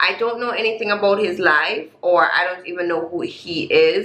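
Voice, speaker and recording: A woman speaks at a medium pitch. Background noise is noticeable. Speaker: reaction video host. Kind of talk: casual talk to camera.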